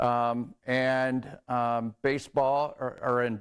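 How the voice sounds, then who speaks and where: A man speaks with a Midwestern American accent. His voice sits at medium pitch. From northern Indiana, US Midwest. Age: 60s. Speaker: athletic trainer. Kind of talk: conference talk. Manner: halting, many fillers.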